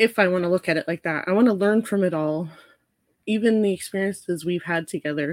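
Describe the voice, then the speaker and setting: Here a woman has an unremarkable speaking voice, fairly low-pitched and at a moderate pace. The sound is dry and close with no echo, on a very clean recording with a silent background. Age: 40s. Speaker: registered nurse. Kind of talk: casual chat.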